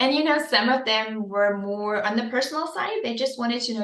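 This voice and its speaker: A woman talks with fairly even intonation, and audible room echo surrounds her voice. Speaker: beauty pageant winner. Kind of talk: podcast interview. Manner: fast.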